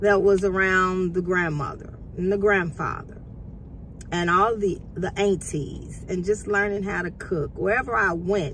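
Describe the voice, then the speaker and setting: A woman talks at a fairly slow pace in medium pitch. It is an ordinary speaking voice. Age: 50s. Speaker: culinary student and vlogger. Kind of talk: casual motivational vlog.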